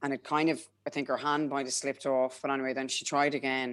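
A woman speaks at a moderate pace in an Irish accent. Her pitch is very deep and low. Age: 30s. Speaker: mother sharing birth story. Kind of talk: interview.

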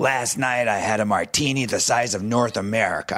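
A man puts on a character voice at medium pitch. It comes out raspy and husky, with fairly even intonation. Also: moderate pace. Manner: dry, wry, humorous.

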